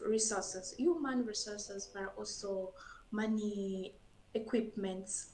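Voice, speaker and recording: A woman speaks with a French accent at a fairly slow pace. Room echo can be heard around her voice. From Burundi. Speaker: scientist. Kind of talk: interview. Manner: halting.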